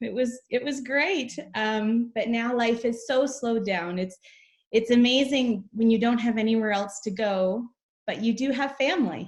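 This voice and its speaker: A woman's ordinary speaking voice with a Canadian accent, a fairly high pitch and ordinary pitch variation. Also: moderate pace. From Canada. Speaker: charity representative, mother. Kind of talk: casual interview chat.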